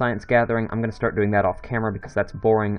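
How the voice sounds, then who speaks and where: A man speaks over noticeable background noise. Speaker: gaming video creator. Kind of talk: gameplay commentary. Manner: monotone. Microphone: new microphone setup, sounds weird.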